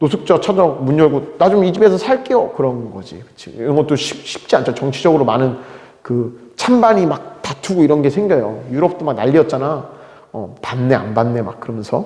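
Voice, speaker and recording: The voice sounds animated, with very wide pitch swings and big swings in loudness, amid noticeable background noise and audible room echo. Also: man, fairly high pitch for a man. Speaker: teacher. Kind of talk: lecture. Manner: fast.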